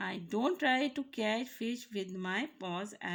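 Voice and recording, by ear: A natural voice reads the text aloud.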